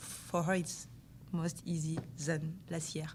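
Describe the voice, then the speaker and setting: A somewhat breathy voice is heard with audible room echo. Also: woman. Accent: French. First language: French. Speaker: interpreter for teammate, footballer. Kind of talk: press conference interpreting. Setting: press conference. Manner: halting.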